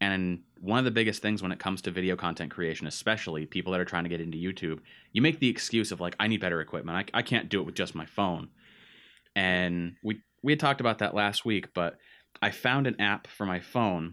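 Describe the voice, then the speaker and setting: Very fast and bright, with a sharp tone, a man with an American accent and a very deep, low pitch speaks with ordinary pitch variation on a very clean recording with a silent background. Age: 20s. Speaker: podcast host, aspiring content creator. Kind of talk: casual chat.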